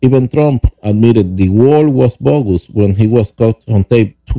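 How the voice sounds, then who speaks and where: This man speaks with a Spanish accent at a moderate pace. His medium pitch shows ordinary variation. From Venezuela. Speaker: podcast host, author and rideshare driver. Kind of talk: reading aloud from own book. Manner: halting, with many fillers and repeats.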